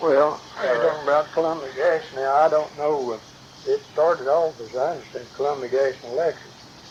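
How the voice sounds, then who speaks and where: Amid noticeable background noise, a man with an American accent talks at a fairly quick pace with a fairly high pitch and fairly even intonation. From West Virginia. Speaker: retired gas company worker. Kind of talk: interview answer. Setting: home recording.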